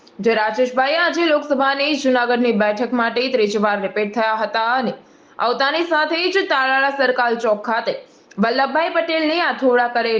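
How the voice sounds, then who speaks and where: A woman's high-pitched voice moves through ordinary pitch variation. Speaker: local news reporter. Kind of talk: news report voiceover. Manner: formal.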